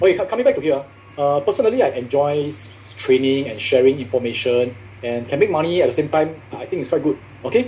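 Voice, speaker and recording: Over noticeable background noise, a man with a fairly high pitch talks very fast with lively intonation. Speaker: social media marketing trainer. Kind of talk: workshop talk. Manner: animated.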